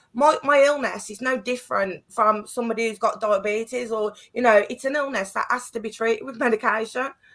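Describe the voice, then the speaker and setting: Hardly pausing, a woman with an English accent talks at a fairly quick pace in a fairly high pitch, her intonation fairly even but her loudness swinging widely. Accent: English accent noted by host. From Birmingham, England. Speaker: artist and guest. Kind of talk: heated discussion.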